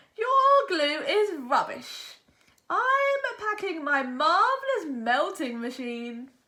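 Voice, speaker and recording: In a put-on character voice, the speaker drags along at a very slow pace with very wide pitch swings. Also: woman, extremely high pitch for a woman. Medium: read story. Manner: boastful.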